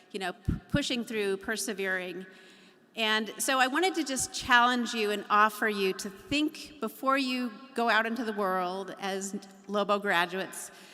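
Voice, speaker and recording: A woman's fairly high voice at a moderate pace, with ordinary pitch variation and an unremarkable speaking voice. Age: 50s. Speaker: university regent. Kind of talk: commencement speech. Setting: graduation ceremony.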